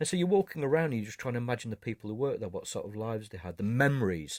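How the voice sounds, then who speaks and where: Recorded very cleanly against a silent background, with a dry, close sound and no echo, a man speaks at medium pitch in a northern English accent with lively intonation. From northern England. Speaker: photographer. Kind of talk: interview. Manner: halting.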